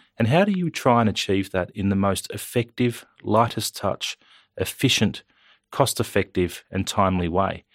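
On a very clean recording with a silent background, a man with an Australian accent and a fairly low pitch talks at a moderate pace. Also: ordinary pitch variation, dry, close sound with no echo. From Australia, New South Wales Central Coast. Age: 30s. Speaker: politician. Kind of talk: interview. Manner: halting, many fillers and repeats.

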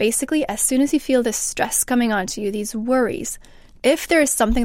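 A woman with an unremarkable speaking voice talks fairly quickly at a fairly high pitch with ordinary pitch variation, in a very clean recording over a silent background. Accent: Canadian. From Canada. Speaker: mental health researcher. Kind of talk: panel discussion.

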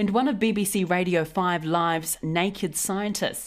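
A woman with a New Zealand accent at a moderate pace, ordinary pitch variation, on a very clean recording with a silent background. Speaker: podcast host. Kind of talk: news podcast presenting.

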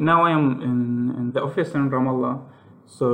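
With an Arabic accent, a man speaks at medium pitch and a fairly slow pace, amid noticeable background noise and audible room echo. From Palestine. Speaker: software engineer and indie game developer. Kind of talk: interview. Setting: Skype call from his office. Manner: halting.

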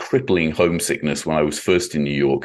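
Against a quiet background, a man with an English accent speaks at a fairly quick pace. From England. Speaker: classical violinist and author. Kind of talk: interview.

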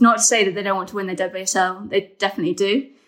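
Talking at a very fast pace, a woman speaks in a medium pitch. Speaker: women's football journalist. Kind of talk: casual podcast chat.

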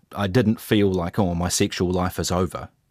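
This man's voice sits very deep and low in pitch. The recording is very clean, with a silent background and a dry, close sound with no echo. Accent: New Zealand. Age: 30s. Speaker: interviewee sharing personal experience. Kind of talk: personal testimony.

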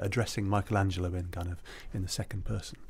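A man talks at a very fast pace with a fairly low pitch. His voice is somewhat breathy. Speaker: books podcast co-host. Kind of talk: casual discussion. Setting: studio.

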